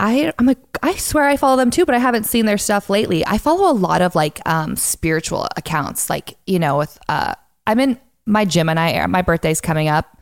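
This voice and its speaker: At medium pitch and moderate pace, a woman with an American accent swings her pitch very widely. Her loudness is very even, and the sound is dry and close with no echo. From Montana. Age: young. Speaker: singer-songwriter and content creator. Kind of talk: casual interview chat.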